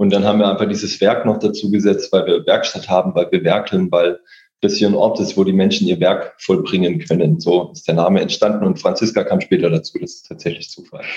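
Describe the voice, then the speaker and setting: His loudness rises and falls in big swings. The man speaks at a fairly quick pace. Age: 40s. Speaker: coworking space co-founder. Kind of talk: podcast interview.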